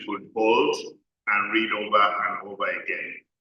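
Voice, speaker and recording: Audible room echo hangs around this voice. The man talks at a very slow pace. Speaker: development expert, conference speaker. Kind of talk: conference speech.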